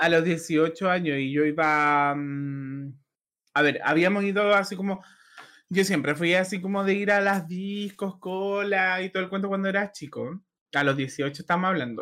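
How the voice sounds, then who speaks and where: A man with a Chilean accent, high-pitched for a man, bright and sharp in tone, at a fairly slow pace, in a very clean recording with a silent background. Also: ordinary pitch variation. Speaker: podcast co-host. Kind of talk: casual chat.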